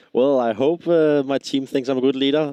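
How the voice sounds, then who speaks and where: A man with a Danish accent and a dark, mellow tone, dry and close with no echo, against a quiet background. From Denmark. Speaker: esports player, team leader. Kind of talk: post-match interview. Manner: halting, many fillers.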